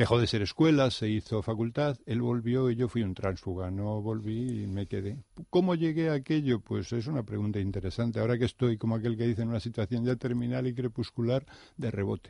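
A man speaks at a fairly quick pace in a medium pitch, with a dark, mellow tone and ordinary pitch variation. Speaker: teacher. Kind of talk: interview. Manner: formal.

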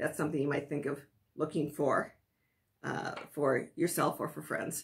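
Over a quiet background, a woman speaks in a somewhat breathy voice with an American accent. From US Midwest, Wisconsin. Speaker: sewing and pattern-making instructor; pattern-making instructor. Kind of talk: tutorial. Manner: halting with many fillers. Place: home room. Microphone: phone near.

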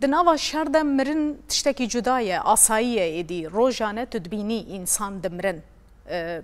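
A woman's fairly high voice, very wide pitch swings, fairly slow delivery. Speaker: TV presenter. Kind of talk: panel discussion remembering a colleague. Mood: earnest, reflective. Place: studio. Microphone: lapel.

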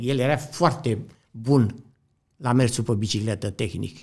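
On a very clean recording with a silent background, a man speaks at a moderate pace in a dark, mellow, somewhat breathy tone. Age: 80s+. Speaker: former cyclist and coach. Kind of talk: interview storytelling. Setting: studio.

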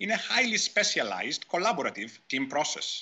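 Vocal fry runs through a man's fairly high voice with very wide pitch swings. He speaks at a moderate pace. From Greece. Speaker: professor. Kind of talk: conference talk. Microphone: webcam.

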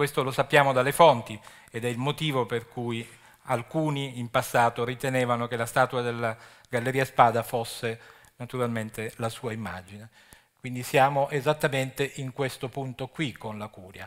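Loudness swings a lot over a quiet background. The pace is moderate and the intonation fairly even. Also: man. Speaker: archaeology official; lecturer. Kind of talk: lecture. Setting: stage with audience. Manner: halting. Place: stage.

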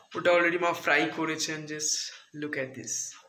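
A man's voice with audible room echo. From West Bengal, India. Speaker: food vlogger. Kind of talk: casual vlog. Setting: at home. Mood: cheerful, amused. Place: home room. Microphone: phone near.

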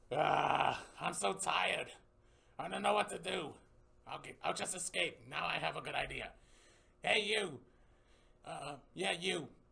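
In a cartoonish character voice, a raspy man speaks with high pitch and long, frequent pauses. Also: moderate pace. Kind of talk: puppet short film dialogue.

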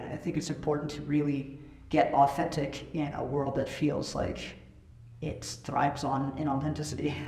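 Over noticeable background noise, a man talks at a moderate pace, his fairly high pitch delivered in a monotone, flat way. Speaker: interviewer and life coach. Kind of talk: casual interview.

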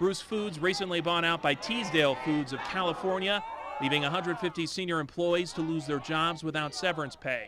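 Over noticeable background noise, a man with a high pitch and a dramatic tone talks at a moderate pace with ordinary pitch variation. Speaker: TV news reporter. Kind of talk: news reporting. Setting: studio. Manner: formal, brisk, dramatic newscast delivery.

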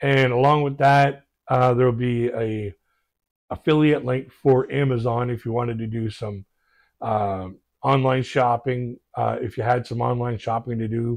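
The background stays quiet. A man's speech runs at a moderate pace, his intonation fairly even. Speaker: reaction video host. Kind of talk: casual vlog chat. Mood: warm, relaxed, reflective. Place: home room. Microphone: lapel.

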